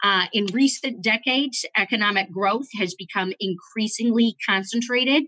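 A woman's bright, sharp voice at a moderate pace, dry with no echo, against a quiet background. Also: ordinary pitch variation. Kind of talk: formal opening statement. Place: office. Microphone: video call.

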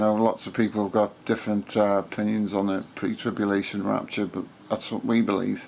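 Delivery is fairly quick and monotone, with flat intonation. Light background noise sits underneath. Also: man. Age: 50s. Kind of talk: casual talk to camera. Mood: earnest, calm. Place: home room. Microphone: phone near.

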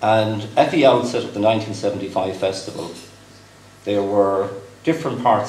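With a Cork accent and ordinary pitch variation, a man speaks at a fairly low pitch amid audible room echo and light background noise. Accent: Cork Irish. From West Cork, Ireland; Ireland. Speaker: company executive, guest speaker; guest. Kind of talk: dinner speech. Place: hall. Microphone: podium.

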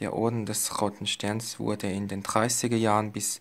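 A man is speaking. His pitch is fairly low. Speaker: medal collector. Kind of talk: casual talk to camera. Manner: monotone, flat. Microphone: phone near.

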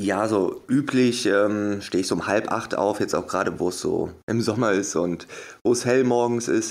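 A plain, everyday voice from a man at a medium pitch, with fairly even intonation, a moderate pace and a very clean recording over a silent background. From Germany, Wuppertal. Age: 30s. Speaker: hypnosis coach and motivational speaker. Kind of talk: interview.

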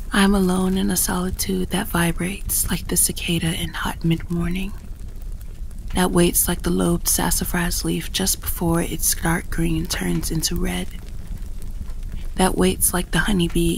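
Soft-spoken, the voice moves at a moderate pace over noticeable background noise. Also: woman. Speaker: poetry reader. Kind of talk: poetry reading.

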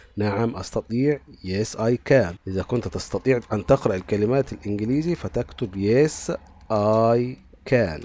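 On a very clean recording with a silent background, a man speaks very slowly at a medium pitch, his dark, mellow tone carried by lively intonation. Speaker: English teacher for primary pupils. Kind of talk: tutorial.

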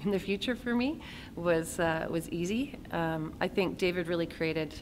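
A woman with a fairly low pitch talks while noticeable background noise plays behind her. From Kamloops, British Columbia, Canada; British Columbia. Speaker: actor. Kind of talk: interview. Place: hall.

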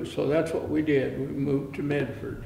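A man speaks at a fairly slow pace, with audible room echo and light background noise. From Canada. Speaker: oral history narrator. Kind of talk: oral history interview. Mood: reflective, calm recollection. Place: studio.

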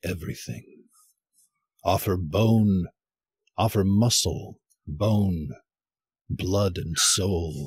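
A somewhat breathy man with a fairly low pitch, at a very slow pace, in a dry, close sound with no echo. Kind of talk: spoken word poem, echoing the partner's stanzas in a duet reading.

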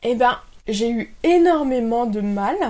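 A woman is talking. Her voice sits at a high pitch. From France. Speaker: YouTuber; expat vlogger. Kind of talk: vlog monologue.

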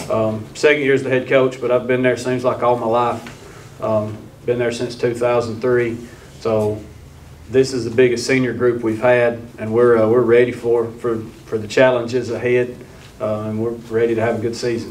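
A man talks in a monotone, flat way at a moderate pace. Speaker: head football coach. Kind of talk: press conference statement. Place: hall. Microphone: studio mic.

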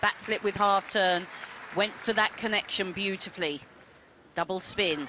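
Speaking at a moderate pace, a woman has a plain, everyday voice at a medium pitch. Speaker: gymnastics expert analyst. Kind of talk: sports commentary, technical expert analysis of beam routines. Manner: measured, precise, matter-of-fact, clipped technical explanations.

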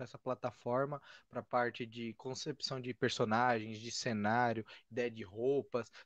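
The recording has a dry sound with no echo. A man speaks at a moderate pace. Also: quiet background. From Brazil. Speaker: podcast host. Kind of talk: casual interview. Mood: friendly, enthusiastic. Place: home room. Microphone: studio mic.

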